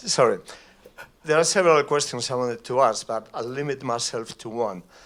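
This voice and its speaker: With a Spanish accent, a man speaks at a fairly quick pace and medium pitch, with ordinary pitch variation. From Spain. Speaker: audience member. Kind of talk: audience question. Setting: stage with audience.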